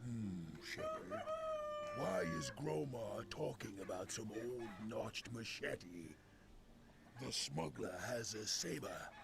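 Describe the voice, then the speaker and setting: Putting on a character voice at a medium pitch, a man speaks at a fairly slow pace with long, frequent pauses against clear background noise. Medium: game stream. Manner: refers to himself by name, clipped phrasing.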